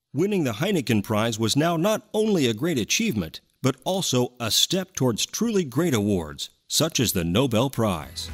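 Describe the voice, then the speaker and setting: Against a quiet background, a man with a medium pitch and a confident tone talks at a moderate pace with hardly any pauses, very even loudness, vocal fry and very wide pitch swings. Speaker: voice actor. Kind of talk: corporate narration. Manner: confident, clear, convincing.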